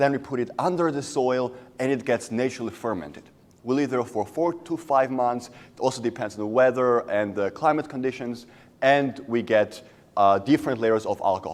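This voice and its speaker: A man with a Georgian accent, medium in pitch, ordinary in pitch variation, at a moderate pace. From Georgia (country). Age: young. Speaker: student entrepreneur. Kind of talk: business pitch.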